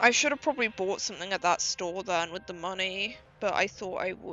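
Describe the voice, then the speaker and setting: Music plays in the background as someone speaks quietly at a fairly quick pace. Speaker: streamer. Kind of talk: live gameplay commentary.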